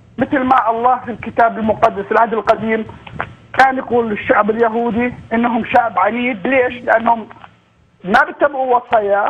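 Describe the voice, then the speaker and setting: A man's extremely high pitch, fairly even intonation and moderate pace over noticeable background noise. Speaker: caller. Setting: phone call.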